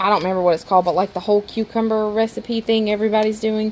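A woman's monotone, flat delivery at a very fast pace over light background noise. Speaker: grocery haul vlogger. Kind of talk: casual vlog chat. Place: kitchen. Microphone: phone near.

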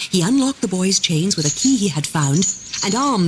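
The clip is plain reading aloud with lively intonation.

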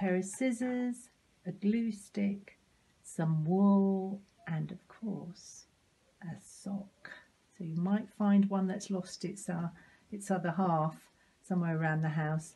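Speaking at a fairly slow pace with long, frequent pauses, a woman has a dark, mellow, somewhat breathy tone and fairly even intonation. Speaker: presenter. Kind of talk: tutorial. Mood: warm, cheerful.

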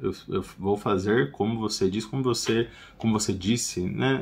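This man's voice comes across as somewhat breathy. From Brazil. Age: 30s. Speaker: English teacher. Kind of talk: tutorial. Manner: casual, repeats phrases slowly. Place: home room.

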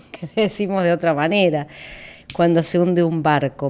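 A woman speaks in a fairly low pitch with ordinary pitch variation. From Argentina. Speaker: political analyst; invited political analyst. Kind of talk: interview. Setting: studio. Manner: halting, many fillers. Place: studio. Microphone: studio mic.

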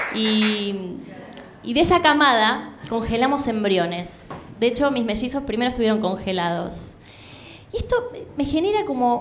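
With a Rioplatense accent, a woman speaks at a fairly high pitch and fairly slow pace, her intonation lively, with long, frequent pauses and light background noise. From Buenos Aires, Argentina. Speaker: stand-up comedian. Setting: stage with audience, comedy club. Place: stage. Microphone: handheld.

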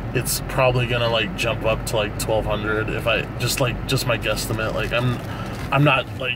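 A man talks at a moderate pace. There is noticeable background noise, and the sound is dry with no echo. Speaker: sneaker reseller vlogger. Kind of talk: casual vlog chat. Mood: relaxed, confident. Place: car. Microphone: phone near.

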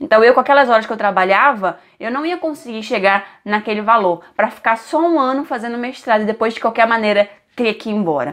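A woman with a Brazilian accent, fairly high in pitch, with lively intonation at a fairly quick pace over a quiet background. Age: 20s. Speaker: vlogger. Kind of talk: casual vlog talking to camera.

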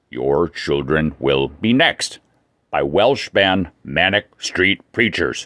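Using a put-on character voice, a man speaks very slowly with a very deep, low pitch. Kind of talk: comedic weather report. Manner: broken caveman speech.

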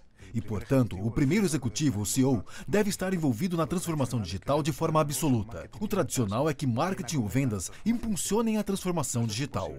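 A man talks at a fairly quick pace with hardly any pauses, his pitch swinging very widely through vocal fry, over light background noise. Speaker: voice actor. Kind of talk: corporate narration. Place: studio. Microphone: studio mic. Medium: dub.

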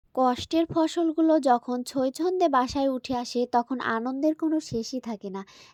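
Recorded dry and close with no echo, a woman speaks at a high pitch with ordinary pitch variation. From rural Bangladesh. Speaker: village vlogger. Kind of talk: casual vlog narration.

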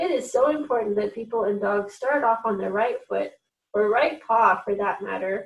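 Quiet background behind an unforced reading voice

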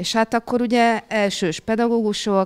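At a fairly slow pace, a woman reads. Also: quiet background. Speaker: primary school teacher. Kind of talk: panel discussion. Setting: stage with audience. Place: meeting room. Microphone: handheld.

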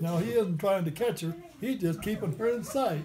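Music plays in the background as a man speaks at a fairly quick pace. His high pitch shows ordinary variation. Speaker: birthday guest reading poetry. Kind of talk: poetry reading. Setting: private home gathering. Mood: cheerful, amused. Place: home room. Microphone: phone near.

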